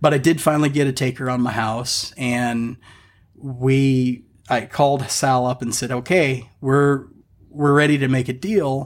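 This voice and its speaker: A man with an unremarkable speaking voice talks at a fairly slow pace, medium in pitch with fairly even intonation, on a very clean recording with a silent background. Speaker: car enthusiast. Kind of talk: casual chat.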